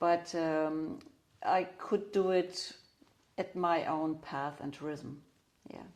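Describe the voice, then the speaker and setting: A woman with a German accent and fairly low pitch, at a very slow pace, with big swings in loudness and long, frequent pauses. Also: ordinary pitch variation. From Germany. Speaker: craniosacral therapist. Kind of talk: interview. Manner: halting, many fillers.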